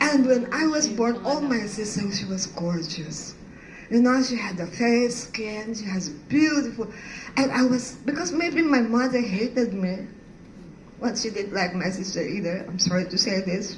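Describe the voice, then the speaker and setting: Over noticeable background noise and audible room echo, a woman with a Filipino accent speaks at a moderate pace with lively intonation. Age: 60s. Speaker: art professor. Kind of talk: personal testimony talk. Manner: halting.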